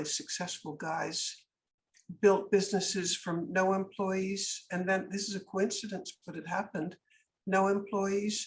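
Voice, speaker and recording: Somewhat breathy, a woman speaks at a fairly slow pace with a medium pitch. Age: 80s+. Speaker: businesswoman and anti-trafficking advocate. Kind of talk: podcast interview. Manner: animated.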